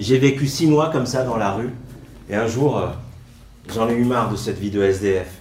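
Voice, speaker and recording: A man at a medium pitch talks at a moderate pace with ordinary pitch variation and long, frequent pauses. The room echo is audible and the background noise noticeable. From France, arrived from Morocco at age 4. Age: 40s. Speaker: stage performer. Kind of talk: autobiographical stage monologue.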